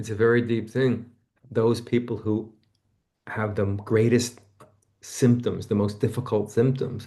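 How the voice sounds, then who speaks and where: Speaking at a fairly slow pace, a man uses monotone, flat intonation and a dark, mellow tone that is somewhat breathy. He leaves long, frequent pauses. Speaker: author and therapist. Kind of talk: casual chat. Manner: quiet, lower and tender.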